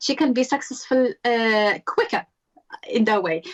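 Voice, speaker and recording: A woman with a Moroccan accent, fairly high in pitch with ordinary pitch variation, at a moderate pace, in a dry, close sound with no echo. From Morocco. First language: Arabic or Berber. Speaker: author and self-confidence coach. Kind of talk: interview conversation. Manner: hesitant, many fillers.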